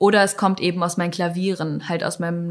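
A woman speaks at a fairly low pitch in a flat, monotone way. The recording is very clean with a silent background. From northern Germany. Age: 20s. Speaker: musician. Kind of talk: interview.

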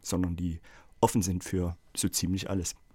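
A man at a moderate pace with monotone, flat intonation, in a very clean recording with a silent background. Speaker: music school director and children's songwriter. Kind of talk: casual chat. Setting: studio.

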